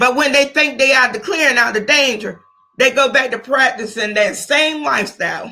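A woman uses a raised, projected voice with a bright, sharp tone and high pitch. Her loudness stays very even, and she speaks at a moderate pace with ordinary pitch variation. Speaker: podcast host, grandmother. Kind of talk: casual chat with religious praise.

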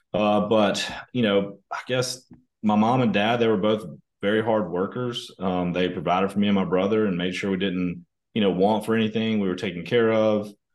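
This man has a Southern US accent, a fairly low pitch, fairly even intonation and a moderate pace. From US South, northern Mississippi. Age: 30s. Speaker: company executive. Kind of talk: interview conversation. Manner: casual, hesitant with fillers.

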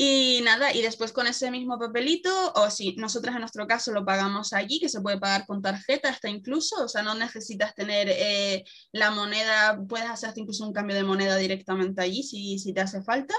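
Hardly pausing, a woman speaks with a fairly high pitch and ordinary pitch variation. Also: fairly quick pace. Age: 20s. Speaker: traveler. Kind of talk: casual interview.

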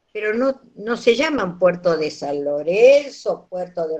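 Pitch swings very widely here. The speaker is a woman. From Argentina, Santiago del Estero. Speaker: nutritionist and university lecturer. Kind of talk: interview talk, lecture-like. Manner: animated.

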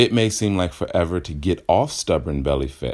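With lively intonation and vocal fry, a man talks at a moderate pace. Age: 30s. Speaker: fitness podcast host. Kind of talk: solo podcast monologue.

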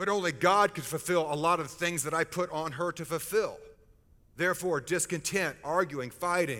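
This man talks at a moderate pace with a high pitch and a bright, sharp tone on a very clean recording with a silent background. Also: ordinary pitch variation. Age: 50s. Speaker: pastor. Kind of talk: sermon.

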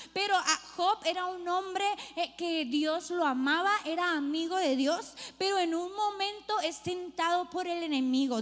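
A woman's extremely high voice moves at a fairly slow pace with ordinary pitch variation. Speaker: pastor. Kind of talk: sermon. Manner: casual, slangy delivery.

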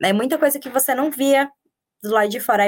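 A woman at a fairly quick pace. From Paraíba, Brazil. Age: 30s. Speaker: social media manager and journalist, mother. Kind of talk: casual interview chat.

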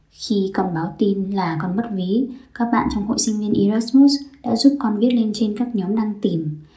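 Somewhat breathy, a woman talks at a moderate pace in a dark, mellow tone. Audible room echo surrounds her voice. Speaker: podcaster, exchange student. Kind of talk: scripted narration.

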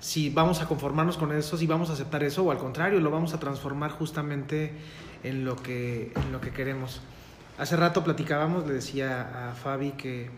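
A man with a Mexican accent speaks at a moderate pace in a fairly high pitch, with fairly even intonation. Noticeable background noise and audible room echo are present. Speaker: licensed professional guest. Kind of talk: casual chat.

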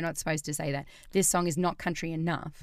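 A woman talks fairly quickly in a normal speaking voice, pitched fairly low. The recording is very clean with a silent background. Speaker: podcast host. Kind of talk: casual banter, music discussion podcast. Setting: studio, recorded podcast.

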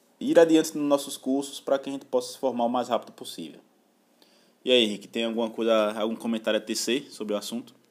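Speaking at a very fast pace, a man with a medium pitch and ordinary pitch variation swings widely in loudness. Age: 20s. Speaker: podcast co-host, university student. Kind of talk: casual news discussion.

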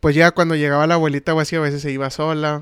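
This man talks with a Mexican accent at a fairly high pitch, his intonation monotone and flat. The sound is dry and close, with no echo. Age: 20s. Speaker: podcast co-host. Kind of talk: casual chat.

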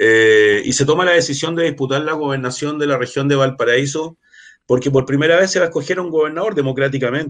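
A man speaks with a Chilean accent at a fairly quick pace. His pitch is fairly high, with ordinary variation. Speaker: water rights activist and political candidate. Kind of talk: casual interview. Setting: online live stream. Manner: halting.

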